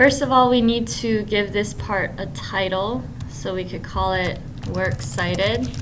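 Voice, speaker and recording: Her medium-pitched voice swings very widely in pitch, and the recording carries audible room echo along with noticeable background noise. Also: fairly slow pace. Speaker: middle school technology teacher. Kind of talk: screencast tutorial.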